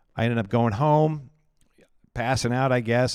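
Speaking at a fairly quick pace with a Midwestern American accent, a man uses a medium pitch and ordinary pitch variation on a very clean recording with a silent background. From Iowa, US Midwest. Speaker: pastor and ministry director. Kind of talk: personal testimony in casual interview.

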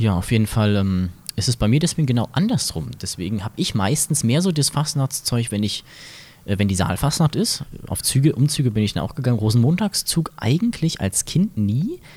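Speaking at a fairly quick pace, a man has a medium pitch and sounds somewhat breathy. His pitch swings very widely. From Mainz, Germany. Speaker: podcast host. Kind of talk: casual chat. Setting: carnival float.

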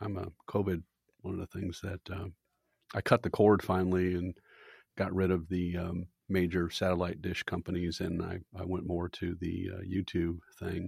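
A man speaks at a moderate pace in a very deep, low voice. The sound is dry and close, with no echo. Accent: American. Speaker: attorney and podcast host. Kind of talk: interview. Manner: halting.

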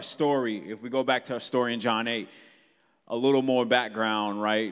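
With an ordinary speaking voice, a man talks at a fairly quick pace and medium pitch with fairly even intonation on a very clean recording with a silent background. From south suburbs of Chicago. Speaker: guest preacher. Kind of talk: sermon.

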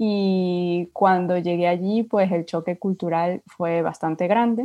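Against a quiet background, a woman with medium pitch and a dark, mellow tone speaks at a fairly slow pace, her intonation fairly even. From Venezuela. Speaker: UX designer. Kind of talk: casual interview.

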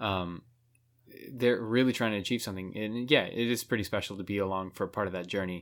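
On a very clean recording with a silent background, a man with an ordinary speaking voice talks at a fairly quick pace in a fairly low pitch, with fairly even intonation. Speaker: professional saxophonist and music teacher. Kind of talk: casual chat.

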